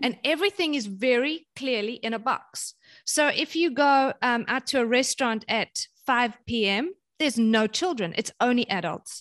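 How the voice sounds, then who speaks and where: A woman with a South African accent speaks at a moderate pace in a high voice with lively intonation, the sound dry and close with no echo over a quiet background. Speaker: parenting author and speaker. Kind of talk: casual interview chat.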